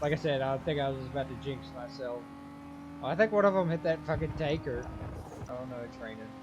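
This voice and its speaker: Over music in the background, a man with a fairly high pitch talks at a fairly quick pace, with ordinary pitch variation and big swings in loudness. He takes long, frequent pauses. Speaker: gaming YouTuber. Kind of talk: gameplay commentary. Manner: quiet, near whispering; casual, halting.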